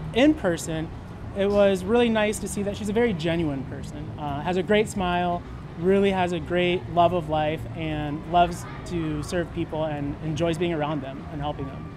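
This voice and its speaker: Over music in the background and with audible room echo, a man with an American accent talks at a moderate pace in a high pitch, using ordinary pitch variation. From Minnesota, US Midwest (Maple Grove). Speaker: dating show contestant. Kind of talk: interview. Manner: hesitant, with fillers.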